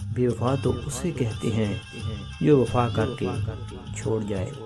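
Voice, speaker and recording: Music plays in the background as a man speaks. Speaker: radio jockey, poetry reciter. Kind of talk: poetry reading.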